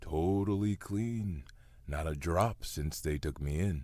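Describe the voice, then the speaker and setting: A man does a put-on character voice. It is very deep and low, with ordinary pitch variation. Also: fairly slow pace. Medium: audio drama. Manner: sarcastic, deadpan.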